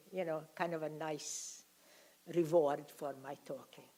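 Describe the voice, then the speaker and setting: A woman's voice, very deep and low in pitch, carries a dark, mellow tone and a monotone, flat intonation. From Hungary. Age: 80s+. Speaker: Holocaust survivor speaker. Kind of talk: testimony. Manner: halting.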